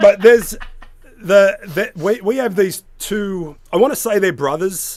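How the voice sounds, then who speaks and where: Here is a man with an Australian accent. He keeps a moderate pace. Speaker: co-host. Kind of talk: casual chat.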